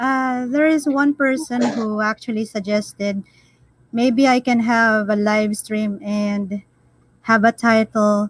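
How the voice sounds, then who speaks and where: Very slow in pace, a woman speaks with a fairly high pitch and fairly even intonation. The sound is dry and close with no echo. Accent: Filipino. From Philippines. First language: Filipino. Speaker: live stream panelist. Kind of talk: casual chat.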